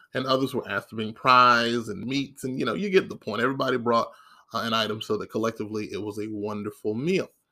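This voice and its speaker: A man with a bright, sharp tone at a very fast pace. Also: medium pitch for a man, ordinary pitch variation. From Maryland. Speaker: podcast host. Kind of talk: casual monologue. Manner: frequent filler words.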